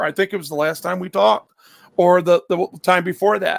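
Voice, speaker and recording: A man projects a raised voice with a bright, sharp tone at a moderate pace, the sound dry and close with no echo. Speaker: YouTube livestreamer. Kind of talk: casual chat. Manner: loud; stammering repetitions.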